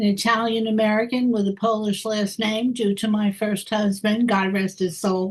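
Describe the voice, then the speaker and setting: Barely pausing, a woman speaks at a moderate pace in a fairly high pitch, somewhat breathy, with monotone, flat intonation. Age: 90s. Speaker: retired attorney. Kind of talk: casual introductions on a video call.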